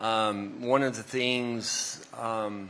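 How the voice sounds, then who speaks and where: A man speaks with a Texan accent. His pitch sits fairly low. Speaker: semiconductor executive. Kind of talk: panel discussion.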